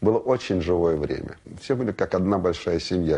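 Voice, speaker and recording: A dark, mellow tone in a man's very deep, low voice. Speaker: television worker recalling Soviet TV. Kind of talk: interview answer recalling old television.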